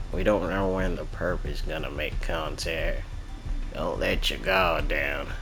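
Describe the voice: A gruff, put-on character voice moves at a fairly slow pace against loud background noise. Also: man.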